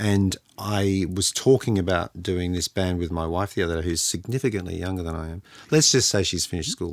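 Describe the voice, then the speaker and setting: Here is a man with an Australian accent and a very deep, low pitch. He talks at a fairly quick pace. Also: ordinary pitch variation. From Sydney, Australia. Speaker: podcast host. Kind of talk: casual podcast discussion.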